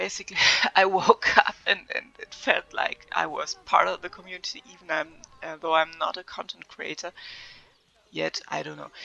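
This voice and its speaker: This is a woman speaking. She has a German accent. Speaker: gaming video creator. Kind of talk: casual unscripted vlog. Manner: hesitant, many fillers.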